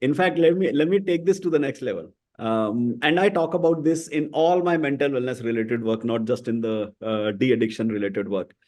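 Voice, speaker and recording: With an Indian accent and lively intonation, a man talks with hardly any pauses. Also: medium pitch for a man, fairly quick pace, quiet background. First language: Hindi. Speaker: podcast host. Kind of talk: interview conversation.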